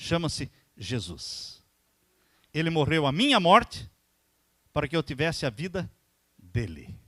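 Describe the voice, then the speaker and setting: Lively intonation with vocal fry, a fairly slow pace and long, frequent pauses. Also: man, fairly high pitch for a man. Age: 60s. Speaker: pastor. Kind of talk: sermon.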